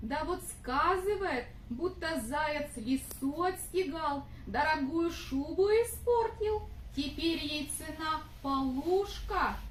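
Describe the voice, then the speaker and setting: A high, cartoonish character voice speaks at a fairly slow pace over clear background noise. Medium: puppet.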